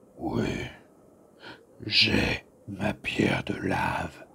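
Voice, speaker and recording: A growling, put-on character voice drags along at a very slow pace. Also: man, fairly low pitch for a man. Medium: audio drama.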